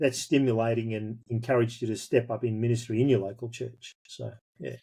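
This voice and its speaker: A man with a rural Australian accent talks at a fairly quick pace and a medium pitch, his tone dark and mellow. His voice is somewhat breathy, and his intonation stays fairly even. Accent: broad rural Australian. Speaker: pastor. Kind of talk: interview.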